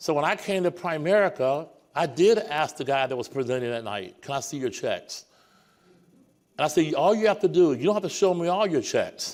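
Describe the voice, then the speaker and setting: In a very clean recording with a silent background, a man with a high pitch speaks at a moderate pace, his tone animated and his intonation lively. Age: 60s. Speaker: senior sales director speaking at company event. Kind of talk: motivational stage speech. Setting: stage with live theater audience.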